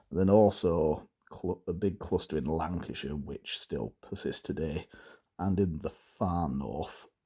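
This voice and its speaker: Vocal fry runs through this man's voice. His pitch is very deep and low, with a dark, mellow tone. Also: ordinary pitch variation, fairly slow pace. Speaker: dialect enthusiast, book reviewer. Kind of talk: casual book review. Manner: hesitant, many fillers.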